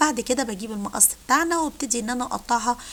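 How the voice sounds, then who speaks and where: This is a woman speaking. Her pitch is high. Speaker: cooking channel host. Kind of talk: cooking tutorial.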